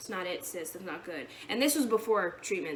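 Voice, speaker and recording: There is noticeable background noise behind this woman. Her pitch swings very widely. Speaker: vlogger sharing eating disorder treatment experience. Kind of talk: casual vlog monologue. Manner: fast; rambling, jumping between topics.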